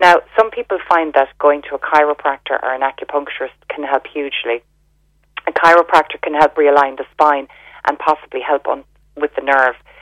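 In an Irish accent, a woman with a very deep, low pitch talks at a fairly quick pace with fairly even intonation, in a dry, close sound with no echo. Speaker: health store owner. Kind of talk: radio interview.

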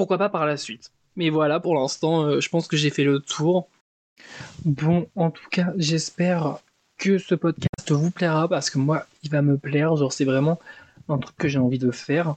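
Fairly even intonation at a fairly slow pace. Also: man, fairly high pitch for a man. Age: 20s. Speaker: book podcaster. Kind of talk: casual monologue. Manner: casual, hesitant.

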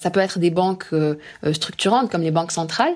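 Her intonation rises and falls in a lively way. This woman's voice sits fairly low in pitch. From Morocco (Casablanca). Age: 20s. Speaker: financial analyst. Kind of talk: interview. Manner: hesitant, many fillers and repetitions.

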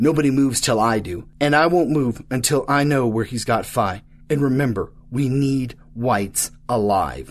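A man at medium pitch and a moderate pace, with hardly any pauses. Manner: cold, clipped, quietly menacing.

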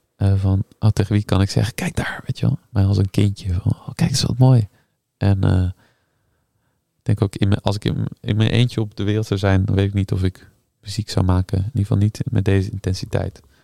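Dry and close with no echo, this is a man speaking at a fairly quick pace with fairly even intonation. His fairly low voice is somewhat breathy, with a dark, mellow tone. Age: 30s. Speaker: harpist and composer. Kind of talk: casual interview.

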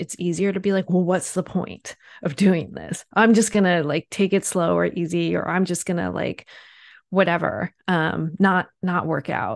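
A woman speaks with an American accent and vocal fry, at a fairly low pitch. Her pace is moderate and her intonation fairly even. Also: quiet background. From US East Coast. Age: 40s. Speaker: journalist and author. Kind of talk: interview.

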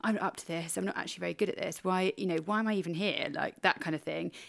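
A woman speaks at a medium pitch with ordinary pitch variation and a British accent. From Britain. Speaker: podcast co-host. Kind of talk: casual chat.

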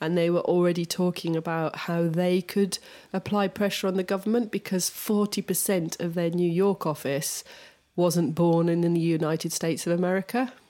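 A woman with an English accent and a dark, mellow tone speaks fairly quickly at a fairly low pitch, with fairly even intonation, on a very clean recording with a silent background. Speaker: podcast co-host, designer. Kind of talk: casual chat.

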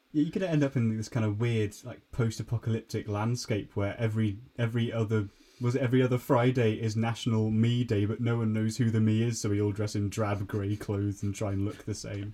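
Man's medium-pitched voice with a British accent, dark and mellow in tone, monotone and flat, at a fairly quick pace. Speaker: podcast host. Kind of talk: casual comedy chat.

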